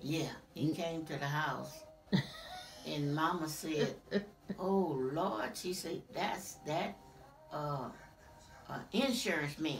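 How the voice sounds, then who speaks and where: Very slow delivery with long, frequent pauses, ordinary pitch variation and noticeable background noise. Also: woman, very deep, low pitch for a woman. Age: 80s+. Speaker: family elder telling life history. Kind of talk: interview answer, family oral history.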